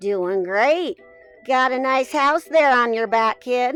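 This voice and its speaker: Over faint background music, a woman uses a put-on character voice, high-pitched, raised and projected, at a fairly slow pace. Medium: read story. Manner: casual, slangy.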